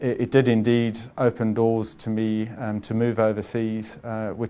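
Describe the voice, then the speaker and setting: Over a quiet background, a man with a South African accent speaks at a medium pitch in a dark, mellow tone with a monotone, flat intonation. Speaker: chief financial officer. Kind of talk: interview. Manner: calm, measured; halting, many fillers.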